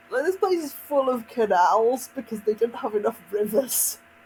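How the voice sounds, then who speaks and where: Delivered at a moderate pace with a West Midlands accent, the speech comes through noticeable background noise. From West Midlands, England. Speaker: video game streamer. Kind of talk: casual gameplay commentary. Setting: live stream.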